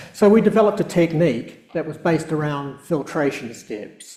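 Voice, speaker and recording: With a southern New Zealand accent, a man speaks at a fairly high pitch and moderate pace with lively intonation amid audible room echo. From New Zealand, South Island. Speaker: professor and research scientist. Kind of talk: public lecture. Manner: hesitant, many fillers.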